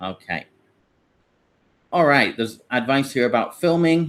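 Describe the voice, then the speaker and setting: This very clean recording, with a silent background, features a man with a British accent. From Britain. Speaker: online English teacher and platform founder. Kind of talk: live Q&A tutorial. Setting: livestream with screen share. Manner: hesitant, many fillers and restarts.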